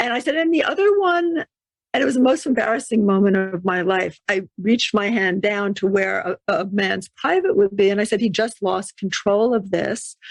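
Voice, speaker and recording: Her unremarkable speaking voice at a medium pitch, a woman talks at a fairly quick pace with lively intonation. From New York City. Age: 60s. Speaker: intuition teacher and author. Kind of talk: podcast interview.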